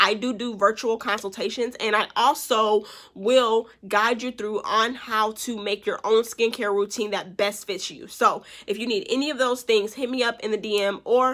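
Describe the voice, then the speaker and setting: A woman talks with a fairly high pitch and a bright, sharp, animated tone. The recording is very clean, with a silent background. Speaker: real estate agent and nail tech vlogger. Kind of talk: vlog talk to camera. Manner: fast.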